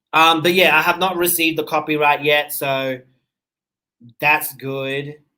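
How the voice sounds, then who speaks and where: A man talks at a fairly slow pace with long, frequent pauses and monotone, flat intonation. His tone is bright and sharp, and his pitch is fairly high. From Australia, Seychellois parents. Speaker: true crime YouTuber. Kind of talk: livestream chat. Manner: casual, conversational.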